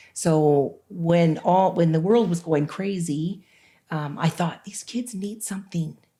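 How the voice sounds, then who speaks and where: Somewhat breathy and dark, mellow in tone, a woman speaks at a very slow pace. Her fairly low pitch shows ordinary pitch variation. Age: 60s. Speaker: author. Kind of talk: interview. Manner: animated.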